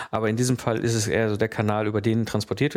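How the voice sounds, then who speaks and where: A man talks at a fairly low pitch over noticeable noise in the background. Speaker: podcast host, systems engineer. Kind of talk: solo educational podcast.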